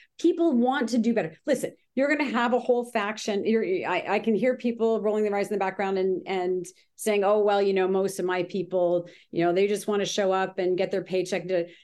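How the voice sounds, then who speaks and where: A woman with a Canadian accent talks at a fairly quick pace in a normal speaking voice, with medium pitch and ordinary pitch variation. Her loudness is very even, and the background is quiet. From Ontario, Canada (Grimsby). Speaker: business consultant. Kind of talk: casual interview. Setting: call.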